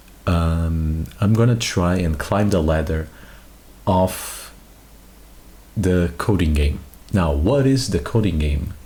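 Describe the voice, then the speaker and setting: A soft-spoken man talks at a very slow pace with a very deep, low pitch, lively intonation, very even loudness and long, frequent pauses. Noticeable background noise and audible room echo are present. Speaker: vtuber streamer. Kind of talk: live stream chat.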